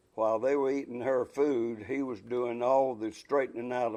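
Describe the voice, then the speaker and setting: A man with a North Carolina accent at a moderate pace. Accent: Southern US (North Carolina). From US South, Shelby, North Carolina. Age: 80s+. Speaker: retired textile businessman. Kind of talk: oral history interview. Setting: recorded interview in Casar, NC.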